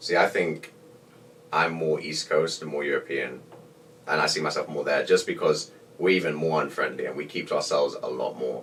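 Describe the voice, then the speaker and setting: Noticeable background noise runs through this clip. A man speaks over it at a fairly quick pace. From England. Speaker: college decathlon athlete. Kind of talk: podcast interview.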